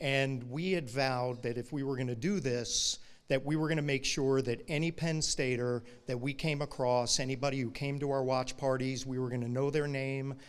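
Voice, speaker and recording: This man speaks with an American accent at a medium pitch. He moves at a fairly quick pace with fairly even intonation. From Brooklyn, New York. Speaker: alumni chapter president. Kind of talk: award acceptance speech. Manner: fast.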